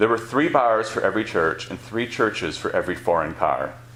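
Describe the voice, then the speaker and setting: Amid audible room echo and noticeable background noise, a man with an American accent talks at a moderate pace in a fairly low voice with lively intonation. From Wisconsin, Beloit. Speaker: author. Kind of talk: reading aloud. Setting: stage with audience.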